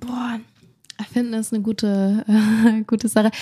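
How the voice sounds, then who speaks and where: A woman speaks with a fairly high pitch and a dark, mellow tone. Her voice is somewhat breathy, and her intonation is fairly even. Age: 20s. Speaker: content creator. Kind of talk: casual conversation.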